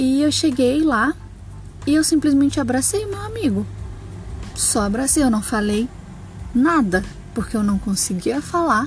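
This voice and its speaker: The speaker uses lively intonation with long, frequent pauses, and there is noticeable background noise. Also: woman, high pitch for a woman, fairly slow pace. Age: 20s. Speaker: podcaster. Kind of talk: solo monologue. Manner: hesitant, many fillers.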